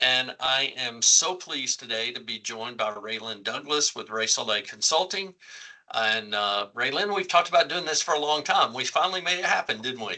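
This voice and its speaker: This man has a normal speaking voice with an American accent and a fairly high pitch. He moves at a moderate pace with lively intonation. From United States. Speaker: company CEO hosting webcast. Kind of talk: webcast interview. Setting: online webcast.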